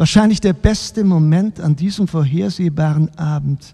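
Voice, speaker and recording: This man's voice sits at a fairly high pitch, with a dark, mellow tone. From Baden-Württemberg, Germany. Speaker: novelist reading his own book.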